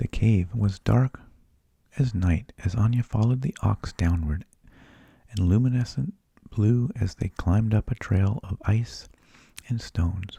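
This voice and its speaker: Soft-spoken and somewhat breathy, the voice has a dark, mellow tone, ordinary pitch variation, and long, frequent pauses. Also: man, fairly low pitch for a man, fairly slow pace, dry, close sound with no echo. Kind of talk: bedtime story reading.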